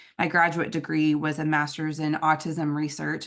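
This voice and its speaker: A woman with a Southern US accent has a very deep, low pitch and fairly even intonation. She speaks at a fairly quick pace against a quiet background. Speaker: nonprofit executive director and conference speaker. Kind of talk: conference presentation. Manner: many filler words (um, uh).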